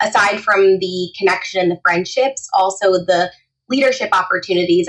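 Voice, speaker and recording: A woman speaks in an ordinary speaking voice with an American accent and medium pitch. Her intonation stays fairly even at a moderate pace. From New Jersey. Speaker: etiquette trainer. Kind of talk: podcast interview.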